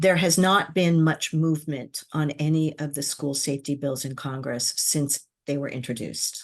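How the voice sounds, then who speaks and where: A woman speaks in a very deep, low voice with fairly even intonation at a moderate pace, hardly pausing at all. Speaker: government affairs executive, former public safety official. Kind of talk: podcast interview. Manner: hesitant with fillers.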